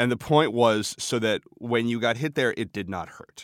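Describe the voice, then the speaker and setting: A man speaks at a medium pitch. The recording is very clean, dry and close, with no echo and a silent background. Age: 30s. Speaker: writer, former restaurant apprentice. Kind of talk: interview. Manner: halting, repeats words.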